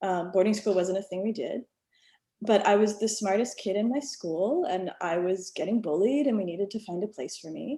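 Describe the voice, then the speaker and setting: With an American accent, a woman at medium pitch speaks at a moderate pace, her dark, mellow tone carrying lively intonation. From rural US South. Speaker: alumna. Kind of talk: panel discussion. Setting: video call. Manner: casual, many fillers.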